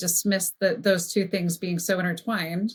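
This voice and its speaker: A woman at a medium pitch and a fairly quick pace. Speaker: brand strategist. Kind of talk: podcast interview conversation. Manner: fast; animated.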